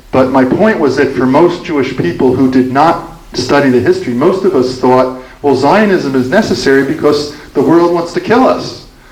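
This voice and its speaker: A man with an American accent and a fairly high pitch speaks at a moderate pace with hardly any pauses, ordinary pitch variation and very even loudness, over noticeable background noise. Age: 70s. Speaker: author and speaker on Israel-Palestine. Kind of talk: Q&A after a talk. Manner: halting, with many restarts.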